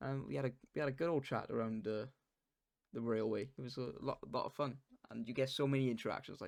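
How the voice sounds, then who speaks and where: A man with a Welsh accent, medium in pitch with ordinary variation, at a very fast pace. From Wales. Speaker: podcast co-host. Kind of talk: casual chat. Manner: animated.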